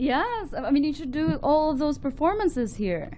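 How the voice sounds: A woman speaks at a high pitch. Her pitch swings a lot. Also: moderate pace.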